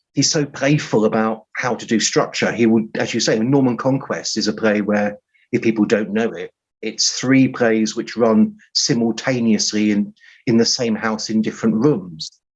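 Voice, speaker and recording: Speaking with an English accent, a man uses a medium pitch. His intonation is fairly even and his pace moderate. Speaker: writer. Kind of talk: interview. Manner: halting.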